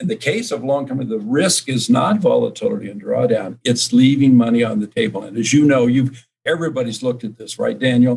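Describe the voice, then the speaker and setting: A man's medium-pitched, somewhat breathy voice at a fairly quick pace, with ordinary pitch variation. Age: 70s. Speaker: finance professor and investment executive. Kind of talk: interview.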